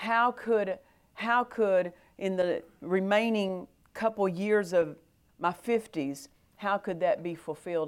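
The pitch varies in an ordinary way. It is an unremarkable speaking voice. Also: woman. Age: 50s. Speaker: preacher. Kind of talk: sermon.

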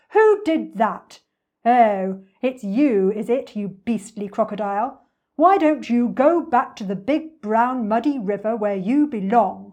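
A woman puts on a character voice, fairly high in pitch and fairly slow in pace. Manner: indignant, scolding.

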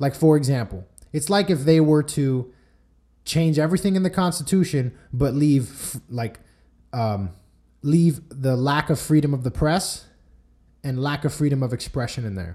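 A man with a fairly high, somewhat breathy voice and a dark, mellow tone speaks at a moderate pace with lively intonation and long, frequent pauses. The recording is very clean, with a silent background. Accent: American. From Miami, Florida (Cuban American). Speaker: podcast host. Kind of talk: solo commentary monologue.

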